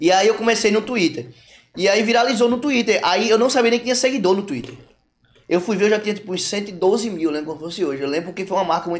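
The voice moves at a very fast pace with lively intonation. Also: man, high pitch for a man. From João Pessoa, Paraíba, Brazil. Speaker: comedian and influencer. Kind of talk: casual chat.

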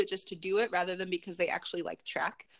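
A woman with an American accent and very wide swings in pitch. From Chicago. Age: 20s. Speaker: pageant titleholder and behavior therapist. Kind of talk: interview.

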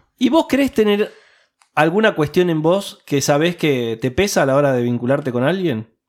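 Lively intonation from a man with a Rioplatense accent. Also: fairly high pitch for a man, moderate pace. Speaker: podcast host. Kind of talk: casual chat; podcast outro.

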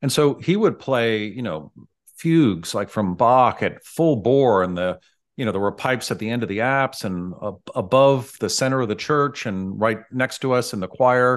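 A plain, everyday voice with an American accent comes over a quiet background. The pace is moderate and the intonation lively. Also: man, medium pitch for a man. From US West Coast, San Francisco. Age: 60s. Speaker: dentist. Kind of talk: casual interview.

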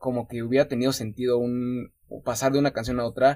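A man speaks in a plain, everyday voice at medium pitch. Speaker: podcast host. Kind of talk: casual chat.

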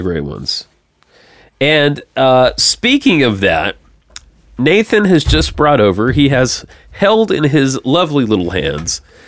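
Vocal fry runs through this man's medium-pitched voice as he speaks at a fairly slow pace with very wide pitch swings. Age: 30s. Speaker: podcast host. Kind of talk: casual chat.

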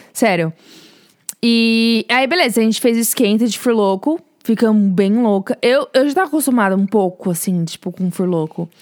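Pitched fairly high, a woman talks at a moderate pace with lively intonation. She has an unremarkable speaking voice. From Brazil, São Paulo. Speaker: podcast co-host, student. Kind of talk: casual chat, storytelling.

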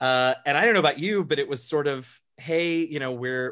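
A normal speaking voice from a man, moderate pace and ordinary pitch variation, on a very clean recording with a silent background. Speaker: streamer and Dungeons and Dragons player. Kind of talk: casual interview chat.

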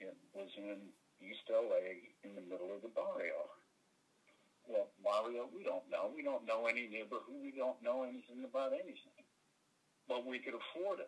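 The pauses are long and frequent. Between them, a man talks at a moderate speed. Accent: American. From rural Michigan, US. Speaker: actor. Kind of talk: casual interview. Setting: remote call from Los Angeles.

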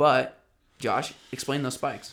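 The man uses a plain, everyday voice, keeping a moderate pace and fairly even intonation. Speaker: podcast host and athlete. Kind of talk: casual chat.

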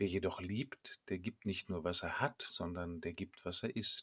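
A man speaks at a very slow pace in a somewhat breathy voice, recorded dry and close with no echo, very clean against a silent background. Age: 50s. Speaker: priest. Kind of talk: scripted sermon.

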